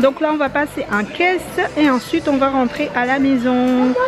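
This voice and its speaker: A high-pitched woman at a fairly slow pace, clear music in the background. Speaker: family vlogger. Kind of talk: casual vlog chat. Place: shop. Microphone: phone near.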